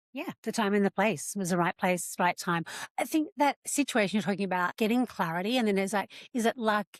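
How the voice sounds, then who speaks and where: In a very clean, dry and close recording with no echo and a silent background, a woman with an Australian accent talks at a fairly quick pace with lively intonation. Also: medium pitch for a woman. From rural Australia. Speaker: podcast host. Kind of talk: podcast interview.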